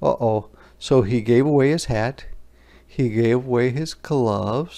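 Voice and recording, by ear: The reading is done aloud in a natural voice. Its pitch rises and falls in an ordinary way.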